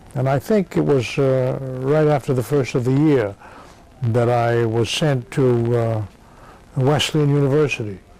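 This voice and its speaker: A man speaks at a fairly slow pace with an American accent, his pitch medium and its variation ordinary. His loudness stays very even, and noticeable background noise is present. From Massachusetts. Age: 70s. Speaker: war veteran. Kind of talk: oral history interview. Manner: halting, many fillers.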